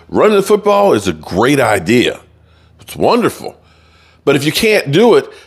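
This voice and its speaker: Vocal fry from a man at a fairly slow pace over a quiet background. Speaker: sports commentator. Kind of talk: commentary. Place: home room. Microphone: studio mic.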